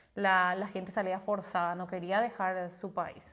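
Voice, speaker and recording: A woman with an ordinary speaking voice talks at a moderate pace and a medium pitch. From Paraguay. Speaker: podcast co-host. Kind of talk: casual chat.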